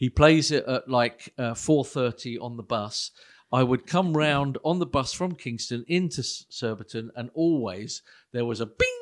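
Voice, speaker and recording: With a normal speaking voice, ordinary pitch variation and a moderate pace, the speaker talks against a quiet background. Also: man, medium pitch for a man. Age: 60s. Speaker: pastor. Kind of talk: casual chat.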